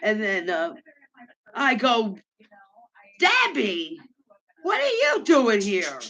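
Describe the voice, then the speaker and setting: Delivery is very slow, broken by long, frequent pauses. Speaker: livestream host. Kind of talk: casual chat. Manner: loud.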